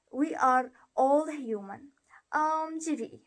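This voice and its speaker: A woman talks with an Arabic accent. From Jordan. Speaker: university student. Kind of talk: prepared testimonial. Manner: halting.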